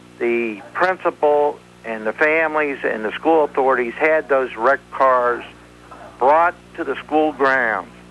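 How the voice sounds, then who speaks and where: A man's plain, everyday voice, fairly high in pitch, with ordinary pitch variation and a fairly slow pace. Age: 60s. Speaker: caller. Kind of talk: call-in comment.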